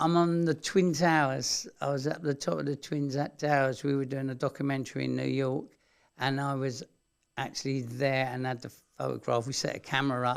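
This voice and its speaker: A man with a London accent talks at a fairly quick pace, with medium pitch and fairly even intonation. The recording is very clean, with a silent background. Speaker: TV builder and electrician. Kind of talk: casual interview. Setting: radio studio.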